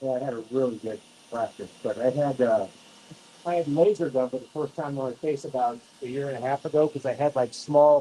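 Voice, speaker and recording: Fairly quick and with ordinary pitch variation, a man talks. He uses a normal speaking voice at a medium pitch. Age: 60s. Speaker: laser treatment patient. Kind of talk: casual chat.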